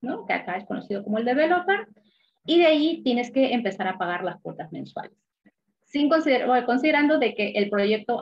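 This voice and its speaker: Her fairly high voice swings very widely in pitch as the woman talks at a fairly quick pace. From Peru. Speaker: investment specialist, former banker. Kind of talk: interview explanation.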